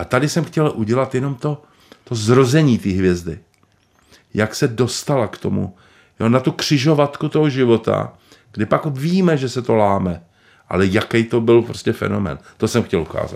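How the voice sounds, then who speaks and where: On a very clean recording with a silent background, a man at medium pitch talks at a moderate pace with lively intonation. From Prague, Czech Republic. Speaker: screenwriter. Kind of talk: interview. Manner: halting.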